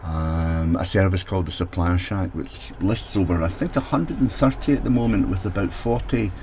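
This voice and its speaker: A man with a Scottish accent speaks in a very deep, low pitch with lively intonation, at a moderate pace with hardly any pauses. Noticeable background noise runs underneath. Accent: Scottish brogue. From Scotland. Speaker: technology consultant for social housing. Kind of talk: solo mini podcast.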